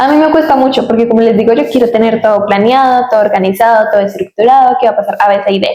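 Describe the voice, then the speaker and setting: Keeping a very even loudness, a woman speaks at a very fast pace. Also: fairly high pitch for a woman, ordinary pitch variation, hardly any pauses. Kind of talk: casual chat. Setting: studio.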